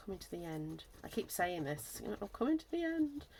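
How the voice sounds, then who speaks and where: A woman with a Lancashire accent. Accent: northwest English, Lancashire. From northwest England, Lancashire. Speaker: craft YouTuber. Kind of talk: casual craft-along tutorial chat. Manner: casual, thinking aloud with hesitations.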